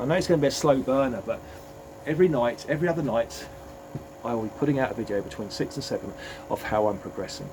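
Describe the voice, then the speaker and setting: Over audible room echo, a man with an English accent talks at a very fast pace, broken by long, frequent pauses. His medium-pitched voice carries lively intonation. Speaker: fitness coach and vlogger. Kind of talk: motivational vlog talk. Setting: home gym. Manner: hesitant, repeats words.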